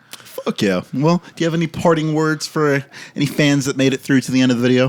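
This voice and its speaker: A man with an American accent speaks fairly quickly at a fairly high pitch, with ordinary pitch variation. The sound is dry and close with no echo, though noticeable background noise comes through. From Britain until age 12, then US. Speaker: podcast host. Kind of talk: casual chat.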